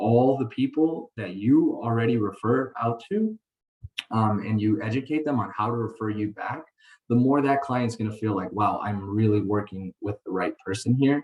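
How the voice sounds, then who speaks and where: A man's normal speaking voice, medium in pitch, with ordinary pitch variation at a moderate pace. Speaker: mortgage lender giving training to realtors. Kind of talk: webinar training presentation. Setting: online call.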